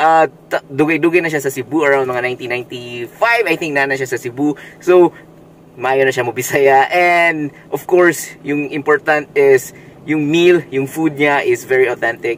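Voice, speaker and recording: A man speaks with ordinary pitch variation in a dry sound with no echo, over light background noise. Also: moderate pace. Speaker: food vlogger. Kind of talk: casual vlog chat. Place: car. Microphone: phone near.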